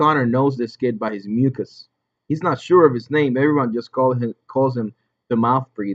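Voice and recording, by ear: The voice is reading aloud in a natural voice, with ordinary pitch variation. The background is quiet.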